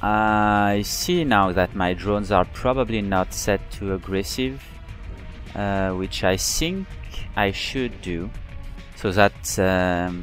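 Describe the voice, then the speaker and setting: Over music in the background, a speaker with a non-native accent talks at a very slow pace with ordinary pitch variation. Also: man, fairly low pitch for a man. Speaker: video game player. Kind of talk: gameplay commentary.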